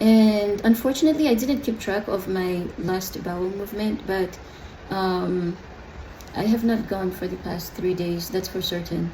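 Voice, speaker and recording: A woman at a medium pitch and fairly slow pace, with audible room echo and noticeable background noise. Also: ordinary pitch variation. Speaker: adoptee vlogger. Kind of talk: personal video diary. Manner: hesitant, many fillers.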